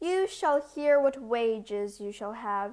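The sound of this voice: An unforced reading voice, lively in its intonation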